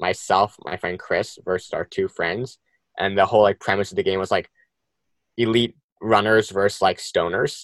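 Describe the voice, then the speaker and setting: A man with an American accent speaks at a moderate pace in an ordinary speaking voice, his pitch fairly low, the sound dry and close with no echo on a very clean recording with a silent background. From US Northeast, New Jersey. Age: 20s. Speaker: fashion designer and brand co-founder. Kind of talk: casual interview.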